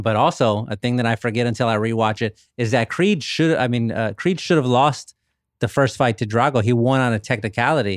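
A man with a plain, everyday voice speaks at a medium pitch and fairly quick pace, with ordinary pitch variation, in a dry, close sound with no echo on a very clean recording with a silent background. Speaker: author. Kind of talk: casual chat.

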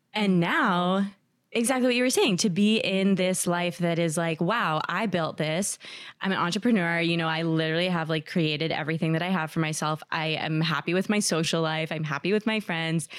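A woman with an American accent and a plain, everyday voice speaks at a fairly quick pace with fairly low pitch, ordinary pitch variation and very even loudness, on a very clean recording with a silent background. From New Jersey. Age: 30s. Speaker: anonymous dater sharing her story. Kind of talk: casual interview.

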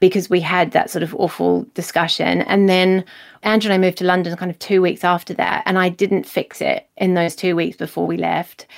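Speaking fairly quickly in a flat monotone, a woman holds a medium pitch on a very clean recording with a silent background. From New Zealand. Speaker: novelist. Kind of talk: interview conversation.

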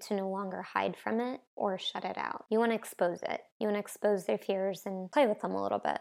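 A woman with an American accent talks at a fairly quick pace in a medium pitch, a plain, everyday voice. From US Northeast, New Jersey. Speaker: artist and author. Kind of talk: interview conversation.

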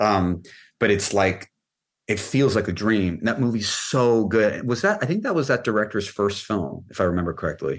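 A man's fairly low voice with a Californian accent, ordinary pitch variation, very even loudness and a moderate pace. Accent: Californian American. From Los Angeles, US. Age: 30s. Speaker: film and music video director. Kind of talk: casual interview. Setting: video call.

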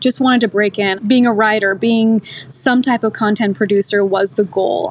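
With an American accent and an ordinary speaking voice, a woman at medium pitch talks at a fairly quick pace with ordinary pitch variation. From US. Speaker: TV business journalist. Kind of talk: interview conversation. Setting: podcast interview.

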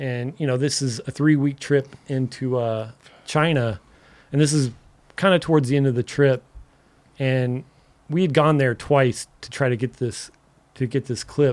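His pitch medium, a man talks with fairly even intonation. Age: 40s. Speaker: skateboard filmer and photographer. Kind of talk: casual chat.

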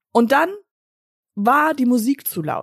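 A high-pitched woman speaks with lively intonation in a dry, close sound with no echo. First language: English (speaking German). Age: 40s. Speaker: podcast co-host. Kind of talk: casual chat.

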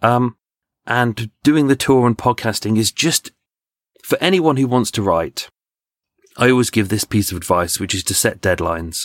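A man with a British accent at a moderate pace, lively intonation and long, frequent pauses, in a dry, close sound with no echo. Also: medium pitch for a man. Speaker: true crime podcaster and tour guide. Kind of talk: casual interview with crime storytelling. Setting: video call.

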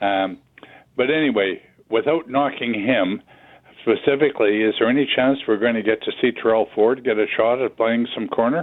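A man has an ordinary speaking voice at a medium pitch. He moves at a moderate pace with ordinary pitch variation. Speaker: caller. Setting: phone call.

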